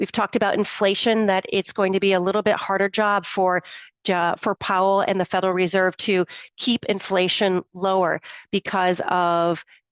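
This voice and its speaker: A woman's normal speaking voice at medium pitch and moderate pace, fairly even in intonation, the sound dry and close with no echo over a quiet background. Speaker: financial planner. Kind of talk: webinar presentation. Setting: live webinar.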